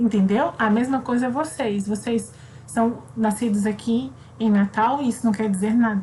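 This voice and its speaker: Breathy to some degree, a woman with a fairly high pitch and a dark, mellow tone speaks with ordinary pitch variation and very even loudness. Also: moderate pace. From Brazil, raised in Southeast by Northeastern family. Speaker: primary school teacher. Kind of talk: online class for children. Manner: casual, conversational.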